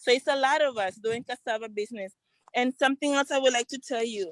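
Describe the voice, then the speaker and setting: A woman speaks in a high voice with a Central American accent. The sound is dry and close, with no echo. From Honduras, Garifuna community in Trujillo, Colón. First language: Garifuna. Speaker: entrepreneur and community organizer. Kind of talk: testimony.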